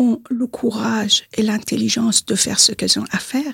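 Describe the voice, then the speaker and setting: Recorded dry and close with no echo, a woman talks at a moderate pace with a fairly high pitch. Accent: Persian. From Iran, Tehran. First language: Persian (speaking French). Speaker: consultant and activist. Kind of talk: interview.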